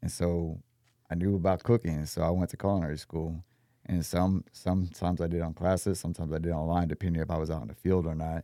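Speaking at a very fast pace, a man with an American accent has a very deep, low pitch, a dark, mellow tone and fairly even intonation, on a very clean recording with a silent background. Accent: Texan, with a slight New Orleans-like lilt. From Texas. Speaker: chef, restaurant owner and military veteran. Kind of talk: casual interview. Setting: podcast studio. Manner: polite, formal, says sir and ma'am.

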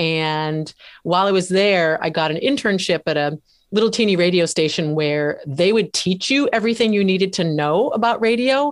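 In a normal speaking voice, a woman of medium pitch talks at a moderate pace with lively intonation and very even loudness, on a very clean recording with a silent background. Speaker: radio host and author. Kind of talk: casual interview.

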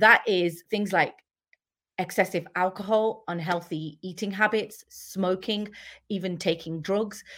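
Fairly even intonation and a fairly slow pace in a British accent, on a very clean recording with a silent background. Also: woman, medium pitch for a woman. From UK. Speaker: empowerment and leadership coach. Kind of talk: casual interview.

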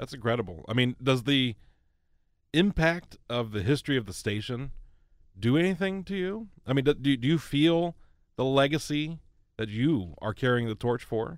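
With an American accent, a man speaks at a medium pitch in a plain, everyday voice. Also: lively intonation, moderate pace. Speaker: podcast host, local history enthusiast. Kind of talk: casual interview. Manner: laughs often.

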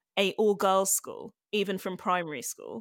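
In a London accent, a woman speaks at medium pitch on a very clean recording with a silent background, the sound dry and close with no echo. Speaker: comedian. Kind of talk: interview.

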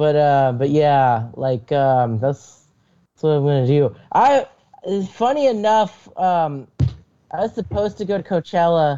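A plain, everyday voice from a man, fairly high in pitch, with lively intonation at a fairly slow pace. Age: 20s. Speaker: aspiring comedian. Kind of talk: casual chat.

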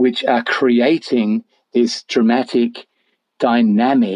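The background is quiet. The speaker is reading aloud in a natural voice.

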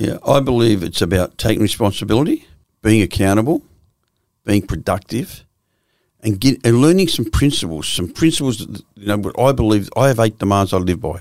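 Speaking fairly quickly in an Australian accent, a man uses a fairly low pitch and lively intonation. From Australia, Victoria (Swan Hill, Melbourne). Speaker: former criminal, addiction counsellor. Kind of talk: casual interview.

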